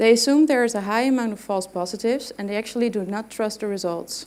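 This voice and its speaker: A woman with a non-native accent at a fairly quick pace. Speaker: physiotherapy researcher and lecturer. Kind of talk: conference presentation. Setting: stage with audience.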